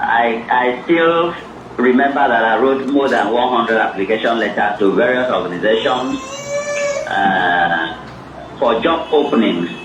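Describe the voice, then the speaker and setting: Someone with a Nigerian accent speaks at a fairly slow pace with lively intonation and very even loudness, amid noticeable background noise and audible room echo. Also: man, medium pitch for a man. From Nigeria, Cross River. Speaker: author and academic. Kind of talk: interview at a book event.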